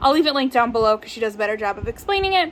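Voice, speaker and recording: The woman's voice sits at a high pitch. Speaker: book youtuber. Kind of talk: casual vlog talk. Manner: animated; fast.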